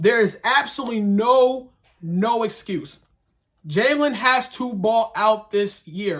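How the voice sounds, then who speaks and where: A man talks at an extremely high pitch in a bright, sharp tone. He sounds animated, with ordinary pitch variation. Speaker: sports vlogger / fan commentator. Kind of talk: casual commentary vlog. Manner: fast.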